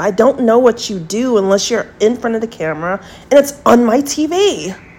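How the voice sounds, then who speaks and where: Noticeable background noise is present. A woman speaks with a fairly high pitch and lively intonation. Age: 40s. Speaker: podcast host. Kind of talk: monologue rant.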